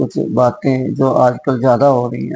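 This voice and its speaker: A man speaks at a medium pitch. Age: 60s. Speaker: schoolteacher. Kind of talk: moral talk to camera.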